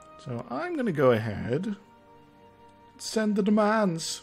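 With music in the background, a man speaks in a high pitch that makes very wide swings. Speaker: game streamer. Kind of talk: casual gameplay commentary. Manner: mumbly at times.

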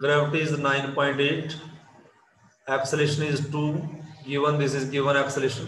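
Amid audible room echo and noticeable background noise, a man speaks at a moderate pace in a monotone, flat way, with long, frequent pauses. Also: fairly high pitch for a man. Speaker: physics teacher. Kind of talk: online class lecture.

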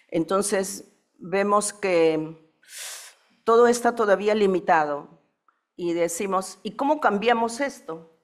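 Speaking very slowly with long, frequent pauses, a woman uses a medium pitch and ordinary pitch variation against a quiet background. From Peru, Andes (Quechua Chanca); Peru. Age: 70s. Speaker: panelist. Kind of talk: conference talk. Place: hall. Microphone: podium.

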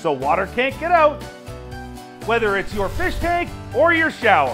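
Clear music plays in the background as a man speaks with very wide pitch swings. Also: moderate pace. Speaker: infomercial host. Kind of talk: TV infomercial product demo. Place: studio.

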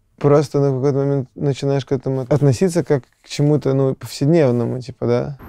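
A man's fairly high voice, dark and mellow in tone, at a fairly quick pace with hardly any pauses, against a quiet background. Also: fairly even intonation, dry sound with no echo. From Serbia. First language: Serbian (speaking Russian). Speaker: rock band singer-songwriter; interviewee. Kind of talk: interview. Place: studio. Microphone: lapel.

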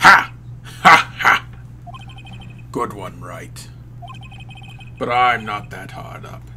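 A man uses a put-on character voice at a very slow pace, with long, frequent pauses over clear background noise. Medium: fan dub. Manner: cold, haughty, condescending.

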